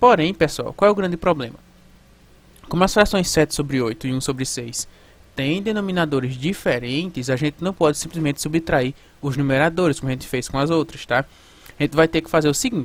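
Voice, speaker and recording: Fairly high-pitched, a man talks at a fairly quick pace with ordinary pitch variation. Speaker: math teacher. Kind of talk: lecture. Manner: fast.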